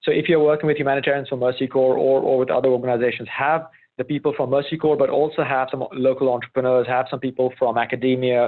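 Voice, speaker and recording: The voice races at a very fast pace with hardly any pauses, monotone, flat intonation and very even loudness. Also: man, medium pitch for a man. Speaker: humanitarian learning innovator. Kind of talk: webinar presentation. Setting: online webinar. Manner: halting, many restarts.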